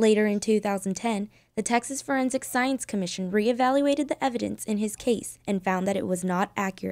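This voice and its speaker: Fairly quick and with fairly even intonation, an unremarkable speaking voice carries the words. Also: woman. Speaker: student broadcast journalist. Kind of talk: TV news report.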